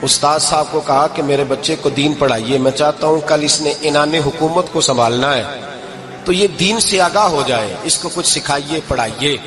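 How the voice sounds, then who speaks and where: Noticeable background noise runs through the clip. A man speaks in a fairly high voice. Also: ordinary pitch variation. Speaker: Islamic preacher. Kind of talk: religious sermon.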